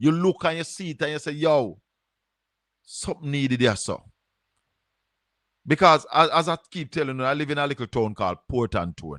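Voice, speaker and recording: The speaker has a Jamaican accent and ordinary pitch variation at a moderate pace. The sound is dry and close, with no echo. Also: man. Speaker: call-in show host. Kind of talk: call-in talk show.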